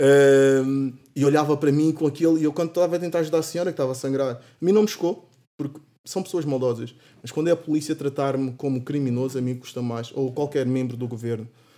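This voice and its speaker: A man with a fairly high, dark, mellow voice speaks at a very fast pace with ordinary pitch variation. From São Tomé and Angola. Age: 20s. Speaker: university student. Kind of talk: casual chat.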